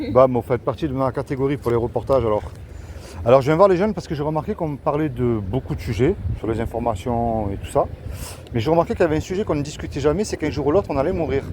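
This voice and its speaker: A man at a medium pitch, very fast with long, frequent pauses and very wide pitch swings, amid noticeable background noise. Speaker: street evangelist youtuber. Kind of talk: street evangelism conversation. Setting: outdoors in the street.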